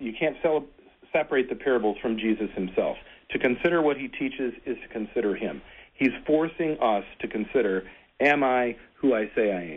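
With an unremarkable speaking voice, a man talks at a moderate pace and medium pitch, his intonation lively. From US Midwest, Michigan (Frankenmuth). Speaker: Lutheran pastor. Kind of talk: casual radio conversation.

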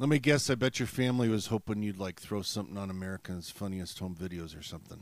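In a very clean recording with a silent background, a man with a fairly low pitch talks very fast with hardly any pauses, his pitch varying in an ordinary way and his loudness swinging widely. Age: 50s. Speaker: pastor and campus ministry radio host. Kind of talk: casual interview.

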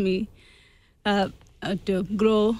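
A woman with an Indian accent and monotone, flat intonation. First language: Indian language. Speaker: immigrant, charity participant. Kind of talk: radio interview. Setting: studio. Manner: halting, non-native English.

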